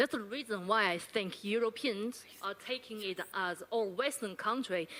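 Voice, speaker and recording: A woman with a Chinese accent speaks in a fairly high voice with a bright, sharp tone. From China. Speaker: university lecturer asking audience question. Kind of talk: audience question at panel forum. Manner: halting.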